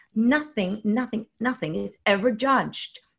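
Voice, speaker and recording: A woman speaks with a Norwegian accent at a fairly slow pace, her voice somewhat breathy and fairly high. Her intonation is lively, and the background is quiet. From Norway. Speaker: spiritual YouTube host, former singer. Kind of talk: interview conversation.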